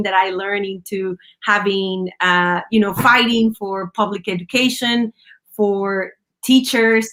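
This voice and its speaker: Speaking fairly slowly with a Spanish accent, a woman keeps a medium pitch and fairly even intonation. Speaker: union leader and former teacher. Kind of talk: interview. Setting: live stream.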